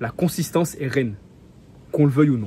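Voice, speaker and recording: Animated and somewhat breathy, a man speaks at a fairly high pitch with very wide pitch swings. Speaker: self-improvement youtuber. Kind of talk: motivational talk to camera. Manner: fast; casual, animated.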